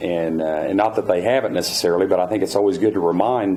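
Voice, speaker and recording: Noticeable background noise fills the recording. A man talks at a very fast pace in a fairly low pitch. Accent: Oklahoma. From Oklahoma, Tulsa. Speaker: state official. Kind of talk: Q&A answer at luncheon. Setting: luncheon with audience. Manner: halting, many fillers.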